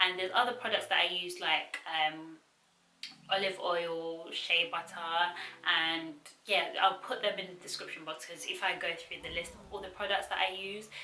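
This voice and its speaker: A woman talks at a medium pitch and moderate pace with fairly even intonation and big swings in loudness, with audible room echo. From Zimbabwe and London. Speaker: YouTuber. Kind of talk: casual Q&A vlog. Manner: relaxed, many filler ums.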